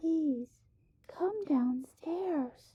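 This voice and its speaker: The speaker whispers in a put-on character voice. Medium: read story. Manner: whispering, creepy.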